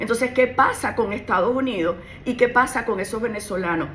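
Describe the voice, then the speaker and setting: A woman speaks at a fairly high pitch with ordinary pitch variation against noticeable background noise. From Venezuela. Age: 60s. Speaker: criminal lawyer and political candidate. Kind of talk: radio interview. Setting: radio studio.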